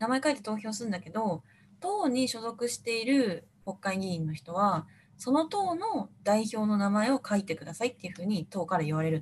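With lively intonation and a fairly quick pace, a woman talks in a fairly high pitch and an ordinary speaking voice. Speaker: radio show co-host. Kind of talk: casual chat. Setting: video call.

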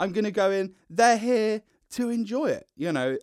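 A man's loud voice at a moderate pace, dry and close with no echo, on a very clean recording with a silent background. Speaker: actor and comedian. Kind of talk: casual chat.

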